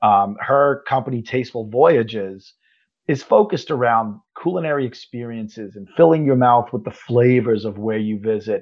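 A man with an American accent talks at a moderate pace in a plain, everyday voice of medium pitch, his loudness swinging widely. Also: ordinary pitch variation. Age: 50s. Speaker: travel podcast host. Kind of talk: casual interview. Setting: video call.

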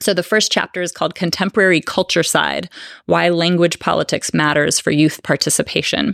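A woman's fairly low voice with vocal fry and an American accent, at a fairly quick pace with fairly even intonation. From Northern California. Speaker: political science professor and author. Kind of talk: book talk with audience. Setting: bookstore event with live audience.

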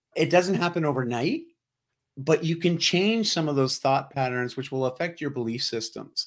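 A man with a Canadian accent talks at a fairly high pitch with ordinary pitch variation. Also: moderate pace. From Canada, Ontario (near Toronto). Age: 40s. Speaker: lifestyle coach and keynote speaker. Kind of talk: casual interview chat. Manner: animated.

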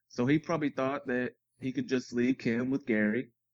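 The recording is dry and close with no echo. A man talks at a moderate pace in a plain, everyday voice. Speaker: podcast guest co-host. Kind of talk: casual chat.

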